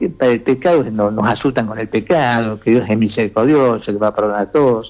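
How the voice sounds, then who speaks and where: A man talks at a very fast pace. His pitch sits in the medium range. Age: 70s. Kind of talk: radio interview, religious teaching. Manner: halting, with frequent repetitions and fillers.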